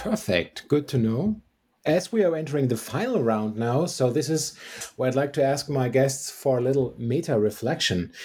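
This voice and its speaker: At a moderate pace and a fairly high pitch, a man speaks with lively intonation, a dark, mellow tone, a somewhat breathy quality, and very even loudness. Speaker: podcast host. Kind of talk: interview.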